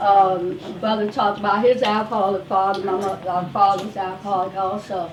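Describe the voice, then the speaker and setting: A woman is speaking amid noticeable background noise. Room echo is audible. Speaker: wellness speaker and life coach. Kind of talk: testimony. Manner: loud.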